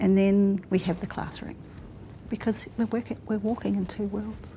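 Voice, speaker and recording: A woman speaks at a moderate pace in a medium pitch, her intonation flat and monotone. Her tone is dark and mellow, with a somewhat breathy quality. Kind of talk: panel discussion.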